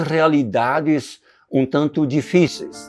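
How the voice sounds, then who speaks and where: This recording has a quiet background. In it, a man speaks very slowly. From southern Brazil, Rio Grande do Sul. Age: 80s+. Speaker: pastor. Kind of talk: testimony.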